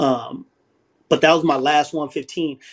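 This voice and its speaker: A fairly high-pitched man with an American accent, fairly slow and monotone in flat intonation, over light background noise. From southeast San Diego, California. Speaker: former prisoner and ex-gang member. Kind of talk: interview, life story. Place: home room.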